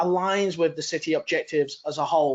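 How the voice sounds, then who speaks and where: His speech, a man's, runs at a fairly quick pace. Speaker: transport authority representative. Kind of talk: conference presentation. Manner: fast.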